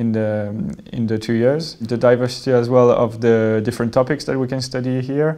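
A man's dark, mellow tone in a monotone, flat delivery over a quiet background. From France. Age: 20s. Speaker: business school student. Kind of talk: testimony. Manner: hesitant, many fillers. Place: hall.

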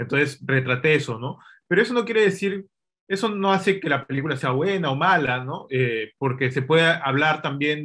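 A man at a moderate pace with ordinary pitch variation, over a quiet background. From Peru. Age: 30s. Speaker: film director and screenwriter; interview guest. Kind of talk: casual interview. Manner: hesitant, repeats words. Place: home room. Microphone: video call.

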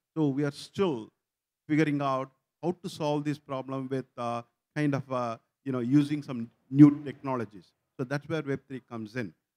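Fairly high-pitched man with a dark, mellow tone, fairly even intonation, a moderate pace and long, frequent pauses. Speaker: tech company founder. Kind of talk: panel discussion. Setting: stage with audience. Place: stage. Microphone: lapel.

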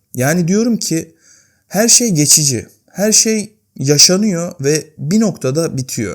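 In a very clean recording with a silent background, a man talks very slowly at a high pitch with lively intonation. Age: 20s. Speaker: YouTuber. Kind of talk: personal vlog monologue. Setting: home, at night. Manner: unscripted, conversational.

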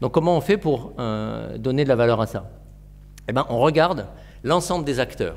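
A man talks at a moderate pace. He leaves long, frequent pauses. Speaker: forest restoration entrepreneur; lecturer. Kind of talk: presentation. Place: classroom.

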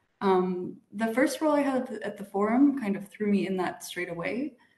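A woman with an American accent talks at a moderate pace with ordinary pitch variation. Audible room echo surrounds her voice. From United States. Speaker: international organization executive, PhD alumna; panelist. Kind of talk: panel talk. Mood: friendly, reflective. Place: home room. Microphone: video call.

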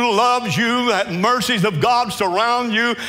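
Projecting a raised voice, a man speaks at a fairly slow pace. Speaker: preacher. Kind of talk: sermon. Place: church. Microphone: headset.

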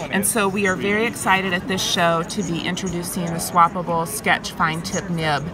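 Music plays in the background as a woman talks at a moderate pace. She leaves hardly any pauses, and the sound is dry with no echo. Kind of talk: product demonstration. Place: hall.

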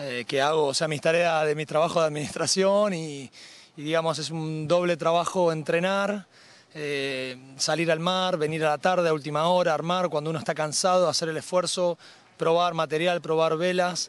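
At a moderate pace, a man speaks fairly high in pitch with fairly even intonation and a dry sound with no echo. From Argentina, Rosario. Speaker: amateur sailor, regatta winner. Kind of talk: post-race interview. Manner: hesitant, many fillers. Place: waterside. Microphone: handheld.

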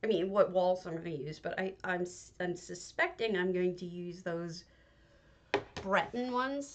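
A quiet woman's voice over light background noise. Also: ordinary pitch variation, moderate pace. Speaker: game streamer. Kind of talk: live stream commentary while playing. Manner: quiet, low volume; hesitant, with many fillers. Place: home room.

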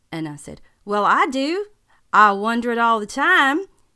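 A woman in a Southern US accent, with a fairly high pitch, a bright, sharp tone, very wide pitch swings, and a fairly slow pace. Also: very clean recording, silent background. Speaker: actress performing a teacher character. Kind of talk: scripted comic monologue in character as a schoolteacher.

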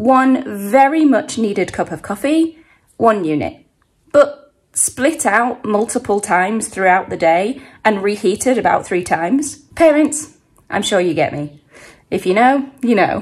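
A woman speaks at a fairly slow pace with very wide pitch swings over a quiet background. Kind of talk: casual vlog chat. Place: home room. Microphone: phone near.

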